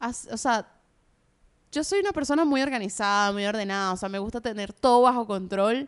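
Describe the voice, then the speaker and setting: A woman with a normal speaking voice talks at a moderate pace against a quiet background, her pitch fairly high with ordinary variation. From Venezuela. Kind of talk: casual chat.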